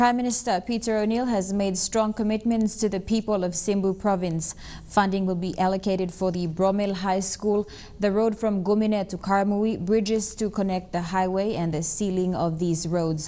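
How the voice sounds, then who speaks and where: A woman's dark, mellow tone with fairly even intonation at a moderate pace. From Papua New Guinea. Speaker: news anchor. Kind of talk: news reading. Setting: studio. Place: studio.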